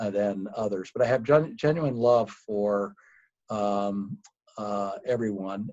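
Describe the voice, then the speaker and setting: A man speaks very slowly at a fairly low pitch, with ordinary pitch variation. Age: 60s. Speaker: company founder. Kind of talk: interview.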